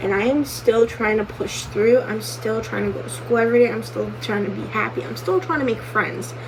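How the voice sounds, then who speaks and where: A woman speaks in a serious tone over noticeable background noise. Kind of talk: casual talk to camera. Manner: serious, emotional personal story.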